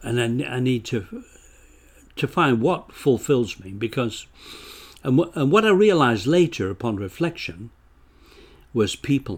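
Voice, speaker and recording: In a very clean recording with a silent background, a man with a Lancashire accent speaks at a medium pitch and a fairly slow pace, his pitch swinging very widely between long, frequent pauses. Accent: northern English (Lancashire). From northern England. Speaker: author. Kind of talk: casual interview chat.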